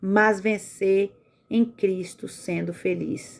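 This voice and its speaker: A woman speaks at a medium pitch. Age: 40s. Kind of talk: religious motivational talk. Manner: animated.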